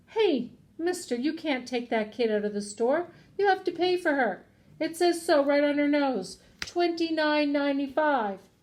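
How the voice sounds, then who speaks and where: A woman puts on a character voice, high-pitched and raised to project, with lively intonation. Her pace is moderate. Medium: read story.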